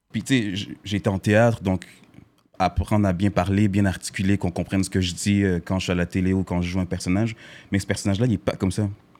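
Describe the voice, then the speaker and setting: A man with a very deep, low voice rattles along at a very fast pace with fairly even intonation. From Montreal, Quebec (born in Haiti). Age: young. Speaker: actor. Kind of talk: casual interview.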